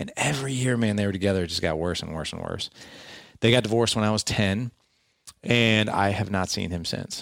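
A man with a plain, everyday voice talks at a fairly quick pace in a fairly low pitch with ordinary pitch variation. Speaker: podcast host and fatherhood coach. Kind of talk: interview storytelling.

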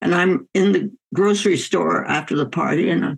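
A woman talks at a fairly low pitch. Her voice has vocal fry. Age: 100s. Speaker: physician and author. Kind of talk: interview.

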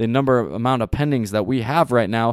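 Heard on a very clean recording with a silent background and a dry, close sound with no echo, a man with a plain, everyday voice talks at a fairly quick pace with ordinary pitch variation. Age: 30s. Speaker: real estate podcast host. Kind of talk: solo podcast monologue. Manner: frequent filler words (um); casual, upbeat.

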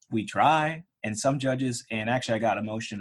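A man speaks with a normal speaking voice in an American accent. His pace is moderate, his pitch variation is ordinary, and the background is quiet. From Pittsburgh, Pennsylvania. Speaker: personal injury trial lawyer. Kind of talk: interview.

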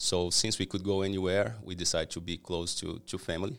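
A man speaks with a Portuguese accent at a very deep, low pitch, with ordinary pitch variation. The recording is very clean, with a silent background. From Brazil. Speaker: cleaning company owner. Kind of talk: interview. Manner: halting.

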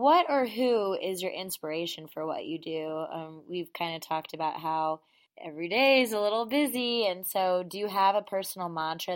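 A woman with an American accent has an ordinary speaking voice at a medium pitch. Her intonation is lively and her pace moderate. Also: very clean recording, silent background. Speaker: podcast host. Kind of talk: interview.

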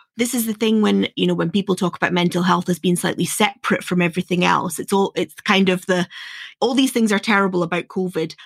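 A woman with a Scottish accent talks at a very fast pace and medium pitch. Her intonation is fairly even, and her loudness stays very even. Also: very clean recording, silent background. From northeast Scotland. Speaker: podcast host. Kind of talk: interview.

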